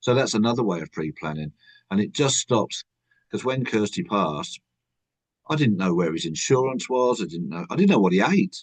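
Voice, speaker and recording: A man at a moderate pace, fairly low in pitch, with very wide pitch swings. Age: 60s. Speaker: author. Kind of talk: podcast interview.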